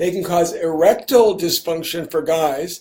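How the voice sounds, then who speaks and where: Speaking at a moderate pace, a man has a dark, mellow tone, a high pitch and fairly even intonation. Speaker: physician. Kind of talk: live Q&A. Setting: Facebook live stream. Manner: conversational, filler words.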